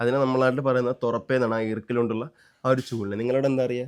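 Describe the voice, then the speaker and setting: With fairly even intonation, a man uses a normal speaking voice pitched at a medium level. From Kerala, Kollam (Thiruvananthapuram-Kollam border). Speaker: family vlogger. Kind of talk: casual chat. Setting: outdoors.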